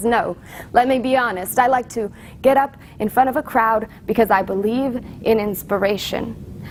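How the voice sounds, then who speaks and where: A woman's ordinary speaking voice, fairly high-pitched, with fairly even intonation at a moderate pace. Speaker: slam poet. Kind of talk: slam poetry performance.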